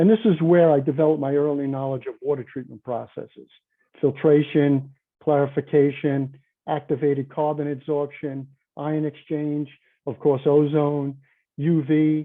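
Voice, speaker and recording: Fairly even intonation marks a man's fairly high voice as he talks at a moderate pace. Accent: New York. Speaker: conference presenter, chemical engineer. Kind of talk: conference presentation. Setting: virtual conference.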